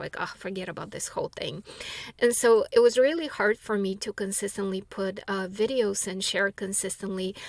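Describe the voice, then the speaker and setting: A woman with a non-native accent speaks at medium pitch over noticeable background noise. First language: not English. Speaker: spiritual teacher and author. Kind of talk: monologue answering a viewer question. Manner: halting, many fillers and restarts.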